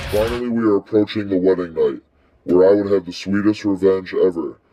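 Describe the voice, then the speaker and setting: A man puts on a character voice, speaking at a fairly quick pace with a fairly low pitch. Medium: stage play. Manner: brooding storyteller.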